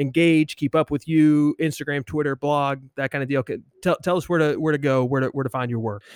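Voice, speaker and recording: In a very clean recording with a silent background and a dry, close sound with no echo, a man with a plain, everyday voice speaks fairly quickly, his fairly high pitch held to fairly even intonation. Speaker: podcast co-host. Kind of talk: interview conversation on abortion and theology.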